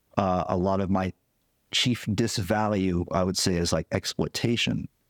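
In a very clean recording with a silent background and a dry, close sound with no echo, a man uses a normal speaking voice, fairly low in pitch, with fairly even intonation at a fairly slow pace. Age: 40s. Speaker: singer-songwriter and record engineer. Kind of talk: casual interview conversation. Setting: home dining room.

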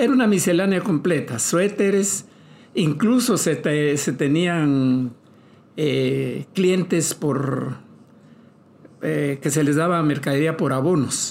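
Speaking at a very slow pace in a Guatemalan accent, a man uses a fairly high pitch, lively intonation and very even loudness. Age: 70s. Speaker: retired entrepreneur. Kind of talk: interview.

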